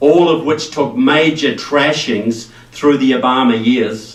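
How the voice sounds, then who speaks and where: A speaker with a New Zealand accent talks at a fairly slow pace, with audible room echo. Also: man. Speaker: political speaker. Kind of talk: speech to a rally audience. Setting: stage with live audience.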